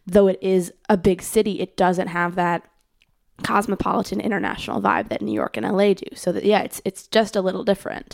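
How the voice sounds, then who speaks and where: Speaking at a fairly quick pace with an American accent, a woman of medium pitch shows vocal fry and fairly even intonation. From US Midwest, Chicago suburbs (Skokie, Illinois). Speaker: musician and internet music organizer. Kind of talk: casual chat.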